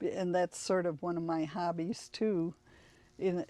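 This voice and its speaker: A woman with a Detroit accent speaks in a dark, mellow tone at a fairly low pitch, her intonation monotone and flat. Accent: Detroit-area American English. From Michigan, Detroit area (Highland Park). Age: 80s+. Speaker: bookstore employee. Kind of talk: interview. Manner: halting.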